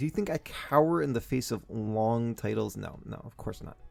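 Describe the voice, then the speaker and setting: There is music in the background while a man talks. His pitch is medium, with ordinary pitch variation. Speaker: voice actor. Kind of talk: casual storytelling to camera, comedic anecdote. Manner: conversational, animated.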